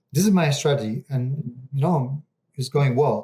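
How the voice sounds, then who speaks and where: A man with an Argentine accent speaks at a moderate pace in a fairly high pitch, his tone dark, mellow and somewhat breathy, with ordinary pitch variation. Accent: Argentinian Spanish-accented English. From Argentina. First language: Spanish. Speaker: real estate investor. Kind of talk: interview. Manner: halting, with fillers.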